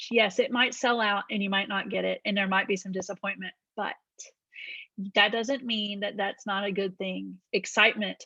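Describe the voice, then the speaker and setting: A woman talks at a medium pitch in a bright, sharp tone with vocal fry. Her sound is dry and close, with no echo. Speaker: direct sales team leader. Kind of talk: team training meeting. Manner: fast; animated.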